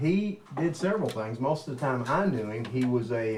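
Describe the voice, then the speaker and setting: A man with a Kentucky accent speaks at a fairly quick pace with medium pitch and lively intonation. Audible room echo and noticeable background noise are present. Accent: Kentucky, US South. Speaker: family member sharing memories. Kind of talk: casual chat.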